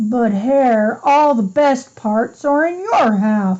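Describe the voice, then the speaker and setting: A woman's put-on character voice, high-pitched and growling, at a very slow pace. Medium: read story. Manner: slow, yawning.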